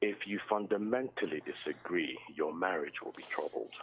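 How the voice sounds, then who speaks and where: Soft-spoken, a man talks at a moderate pace. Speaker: caller. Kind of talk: phone-in call. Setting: phone call. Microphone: phone held far from mouth, too quiet.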